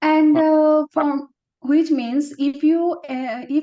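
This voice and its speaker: A woman's dark, mellow tone. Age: young. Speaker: job interview candidate. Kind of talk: mock job interview answers. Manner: fast; halting.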